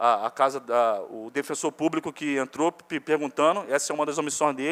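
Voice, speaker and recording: In an unremarkable speaking voice, a man talks at a moderate pace and fairly high pitch with ordinary pitch variation, captured dry and close with no echo on a very clean recording with a silent background. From Ilha Grande, Rio de Janeiro state, Brazil. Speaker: evicted resident. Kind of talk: public hearing testimony. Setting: municipal chamber hearing.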